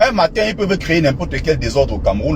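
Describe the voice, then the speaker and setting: A man speaks over noticeable background noise. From Cameroon. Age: 30s. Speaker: political commentator. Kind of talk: political commentary monologue.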